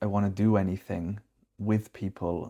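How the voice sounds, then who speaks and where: In a British accent, a man speaks with a dark, mellow tone and a fairly low pitch on a very clean recording with a silent background. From UK. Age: 30s. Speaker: vlogger. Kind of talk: personal vlog confession. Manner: halting, repeating words.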